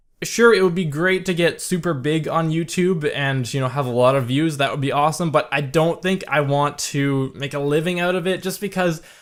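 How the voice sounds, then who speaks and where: With a Canadian accent, a man talks at a fairly quick pace with hardly any pauses. His pitch varies in an ordinary way over noticeable background noise. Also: fairly high pitch for a man. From Canada. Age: 20s. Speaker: gaming YouTuber. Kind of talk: Q&A video blog. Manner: casual, hesitant with many fillers.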